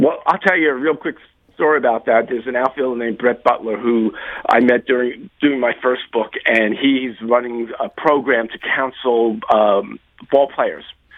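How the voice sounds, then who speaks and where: A man's plain, everyday voice, medium in pitch, at a moderate pace with ordinary pitch variation. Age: 60s. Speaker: author. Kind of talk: interview.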